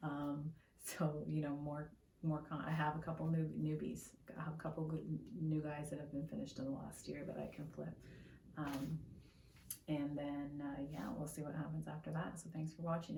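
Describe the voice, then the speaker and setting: A woman talks quietly at a fairly quick pace. Room echo is audible around her voice. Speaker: art YouTuber. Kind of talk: casual vlog talk to camera. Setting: at home. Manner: speaks quietly.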